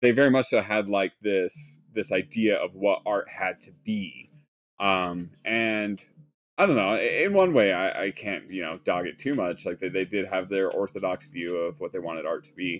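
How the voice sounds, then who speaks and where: With an American accent, a man talks at a fairly slow pace in a fairly low pitch, showing ordinary pitch variation and big swings in loudness over light background noise. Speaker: leather craftsman narrating while working. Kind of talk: casual livestream chat. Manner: casual, conversational, many fillers. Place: workshop.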